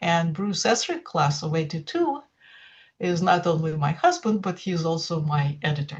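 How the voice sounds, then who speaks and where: A woman's somewhat breathy, fairly low voice in a Russian accent, at a fairly slow pace. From Russia, St Petersburg (Leningrad). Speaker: poetry translator, former data scientist. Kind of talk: interview. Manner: halting, many fillers.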